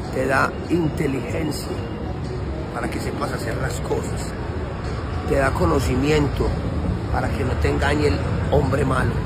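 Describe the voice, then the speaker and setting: A man speaks at a fairly slow pace over background music, stopping for long, frequent pauses. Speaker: street preacher. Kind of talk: informal street preaching. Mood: earnest, intense. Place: street. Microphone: phone near.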